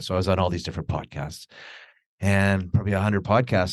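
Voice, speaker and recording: A man is heard against a quiet background. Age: 60s. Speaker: entrepreneur and author. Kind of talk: casual chat. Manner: animated.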